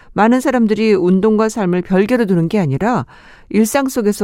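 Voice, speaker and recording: In a very clean recording with a silent background, a woman with a dark, mellow tone speaks at a moderate pace with lively intonation. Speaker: radio host. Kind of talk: radio show with listener messages and music. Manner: warm, friendly.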